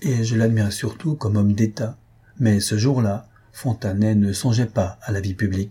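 Intonation stays fairly even as someone reads in an unforced voice.

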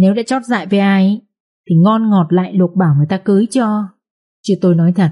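The speaker uses a natural reading voice. Behind it, the background is quiet.

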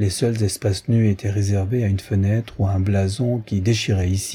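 An unforced reading voice, intonation held fairly even

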